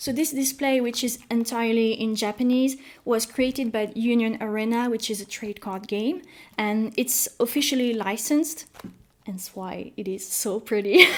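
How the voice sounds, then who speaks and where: A woman with a French accent speaks at a moderate pace in a fairly high voice, her pitch rising and falling in an ordinary way. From France. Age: 20s. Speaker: YouTuber. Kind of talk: casual vlog talk. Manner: animated.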